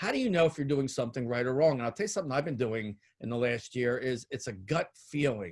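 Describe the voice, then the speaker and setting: On a very clean recording with a silent background, a man with a medium pitch uses an ordinary speaking voice and lively intonation. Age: 60s. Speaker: retired podiatrist and entrepreneur. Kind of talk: interview.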